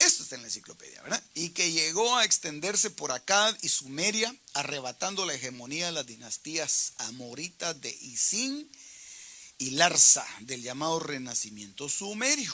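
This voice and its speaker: Speaking at a moderate pace, a man uses a fairly high pitch that swings very widely. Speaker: pastor teaching Bible study. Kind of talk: Bible study teaching.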